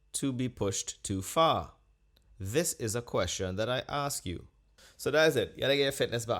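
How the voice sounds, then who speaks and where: A man talks in an ordinary speaking voice at a medium pitch and a moderate pace, with lively intonation. The recording is very clean, with a silent background. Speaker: podcast host and stand-up comedian. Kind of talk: casual podcast talk.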